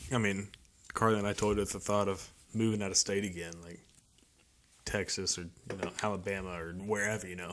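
A fairly quick pace with monotone, flat intonation, big swings in loudness, and long, frequent pauses. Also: man, fairly low pitch for a man. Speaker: podcast host. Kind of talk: casual chat.

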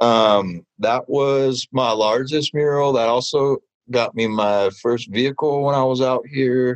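In a normal speaking voice with an American accent, a man talks at a fairly slow pace with ordinary pitch variation and very even loudness, the sound dry and close with no echo. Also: medium pitch for a man. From Southern California, Ventura County. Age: 30s. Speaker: street artist and muralist. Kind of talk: radio interview.

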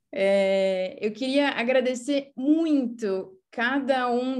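A woman's voice in a Portuguese accent with ordinary pitch variation. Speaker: event host. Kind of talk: moderating an online event. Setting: video call.

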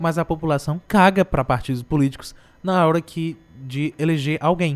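Here is a man with a normal speaking voice. He talks at a moderate pace. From Brazil, Ceará (Morada Nova). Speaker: radio host. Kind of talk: casual chat. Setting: radio studio.

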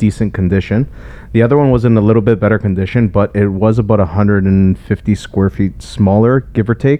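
A man's fairly low voice, an ordinary speaking voice, at a moderate pace with ordinary pitch variation. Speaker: real estate agent. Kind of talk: casual chat.

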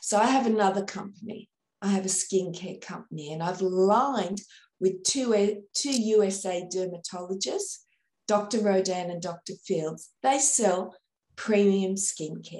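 With an Australian accent, a woman speaks at a fairly slow pace and medium pitch in a dark, mellow tone with ordinary pitch variation. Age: 50s. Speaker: sales trainer. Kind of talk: interview.

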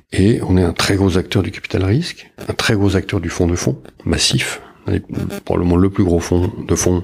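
A man with a very deep, low pitch speaks at a moderate pace, a little breathy. His pitch varies in an ordinary way, and he takes long, frequent pauses. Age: 50s. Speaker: public investment bank executive. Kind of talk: interview.

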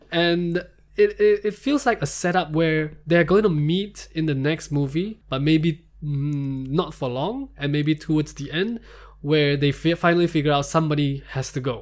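Over a very clean recording with a silent background, a man speaks in an unremarkable speaking voice, fairly high in pitch, with ordinary pitch variation and a moderate pace. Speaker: podcast co-host. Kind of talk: casual chat.

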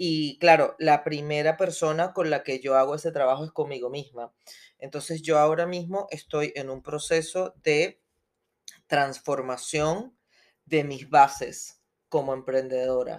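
Delivered at a fairly slow pace, the speech keeps a fairly even intonation while its loudness swings widely. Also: woman, very deep, low pitch for a woman. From Venezuela. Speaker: podcast co-host, entrepreneur. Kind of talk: interview, casual chat.

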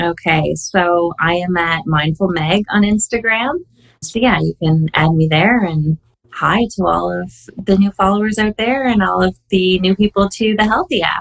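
This woman has an ordinary speaking voice at medium pitch, with ordinary pitch variation. Her pace is moderate. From Canada. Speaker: wellness app community coach. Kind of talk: casual interview.

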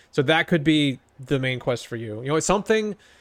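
On a very clean recording with a silent background, a man with an unremarkable speaking voice talks at a fairly quick pace, his fairly high pitch carrying lively intonation. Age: 30s. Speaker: podcast co-host. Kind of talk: casual chat.

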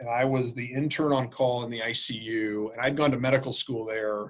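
This is a man with a normal speaking voice at medium pitch. He talks at a moderate pace with fairly even intonation. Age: 40s. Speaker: infectious disease physician and healthcare quality executive. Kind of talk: interview conversation.

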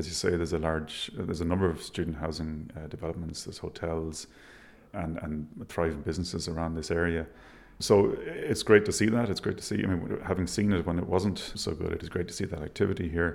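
Fairly quick speech from a man with a very deep, low voice and ordinary pitch variation. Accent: Irish. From Ireland, Galway. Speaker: architect. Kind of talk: interview. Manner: halting.

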